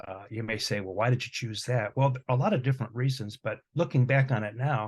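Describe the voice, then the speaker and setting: A somewhat breathy man's voice at a medium pitch, with ordinary pitch variation and a fairly quick pace. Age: 60s. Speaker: music professor. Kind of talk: casual chat.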